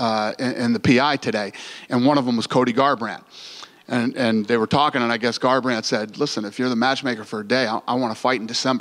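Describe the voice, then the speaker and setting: A man talks at a fairly quick pace with fairly even intonation against a quiet background. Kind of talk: press conference answer. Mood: amused, relaxed storytelling. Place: hall. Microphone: podium.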